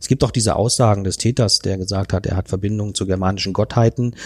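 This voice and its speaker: A man with an ordinary speaking voice, fairly low in pitch, fairly even intonation, and a dry, close sound with no echo. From northern Germany. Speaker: podcast co-host, thriller author. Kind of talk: narrated crime story; casual chat.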